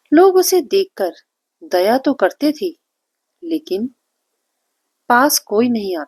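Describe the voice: A woman speaks slowly at a fairly high pitch with big pitch swings, her tone slightly mellow with a slightly husky edge, in a dry, close sound with no echo.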